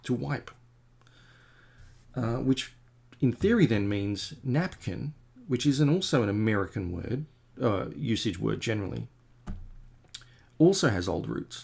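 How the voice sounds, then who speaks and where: Pausing long and often, a man with an Australian accent speaks at a fairly slow pace with vocal fry and very wide pitch swings. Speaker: comic artist. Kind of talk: casual chat while painting on a livestream. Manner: rambling, hesitant with many fillers. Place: home room.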